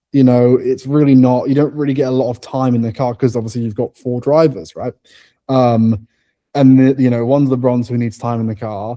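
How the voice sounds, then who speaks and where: A man with a British accent at a medium pitch, fairly quick, with fairly even intonation. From England. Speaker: racing driver. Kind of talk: interview. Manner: casual, filler-heavy; stutter.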